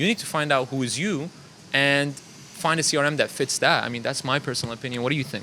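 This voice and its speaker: Very fast delivery over noticeable background noise, with ordinary pitch variation. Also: man, fairly high pitch for a man. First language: not English; English is third language. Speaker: marketing agency founder. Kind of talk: casual panel discussion. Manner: conversational, filler-heavy.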